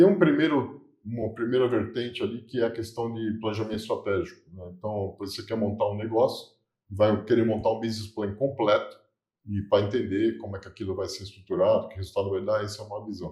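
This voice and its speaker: Against a quiet background, a man with a dark, mellow, somewhat breathy tone speaks fairly quickly at a medium pitch, with ordinary pitch variation and big swings in loudness. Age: 60s. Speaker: business consultant. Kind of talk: interview.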